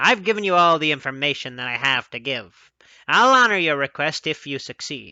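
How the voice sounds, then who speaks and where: In a put-on character voice, a man talks at a moderate pace with a fairly high pitch and lively intonation. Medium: read story. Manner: curt.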